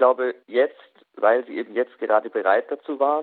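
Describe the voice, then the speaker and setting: Speaking at a moderate pace and medium pitch, a man uses a normal speaking voice with fairly even intonation. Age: 20s. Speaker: youth association chair, law doctorate. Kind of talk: radio interview.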